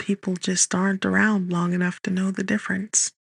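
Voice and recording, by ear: Someone reads aloud in a natural voice.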